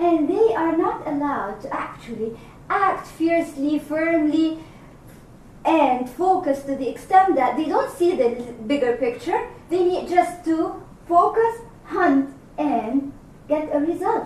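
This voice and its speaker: A woman at an extremely high pitch and fairly slow pace, with audible room echo. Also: lively intonation. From Egypt. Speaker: executive coach. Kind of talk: workshop discussion. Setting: room with audience.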